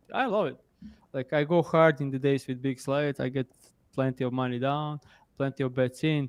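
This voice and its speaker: A man with a non-native accent speaks at a fairly quick pace and fairly high pitch. His intonation is fairly even, broken by long, frequent pauses. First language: not English. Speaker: sports betting analyst. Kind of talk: casual chat. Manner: halting.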